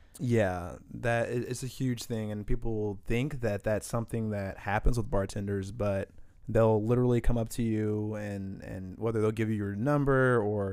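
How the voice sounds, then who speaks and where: With a Midwestern US accent, a man speaks in a dark, mellow tone. His pitch is fairly low and his intonation fairly even. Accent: US Midwest. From Indianapolis, Indiana (born St. Paul, Minnesota). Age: 20s. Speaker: bartender. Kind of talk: casual chat. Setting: studio.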